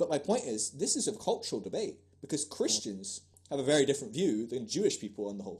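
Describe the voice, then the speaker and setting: Very wide pitch swings mark this man's fairly high, somewhat breathy voice. He speaks at a very fast pace. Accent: American. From Scotland and England. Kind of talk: casual interview chat.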